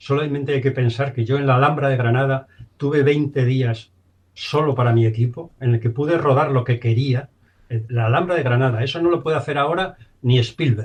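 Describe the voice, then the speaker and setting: Somewhat breathy, a man talks at a fairly quick pace in a medium pitch with fairly even intonation. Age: 70s. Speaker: film director. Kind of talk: interview.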